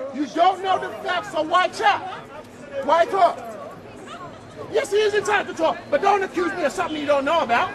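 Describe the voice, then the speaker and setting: Over crowd noise in the background, a man with an extremely high pitch speaks loudly in an animated tone, at a moderate pace with ordinary pitch variation and long, frequent pauses. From London, Battersea. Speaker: local resident. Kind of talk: heated street argument.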